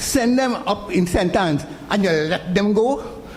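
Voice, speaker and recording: Both audible room echo and noticeable background noise can be heard in this clip. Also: man. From Trinidad, San Fernando. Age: 70s. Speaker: charity volunteer leader. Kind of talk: public meeting speech. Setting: community consultation in auditorium.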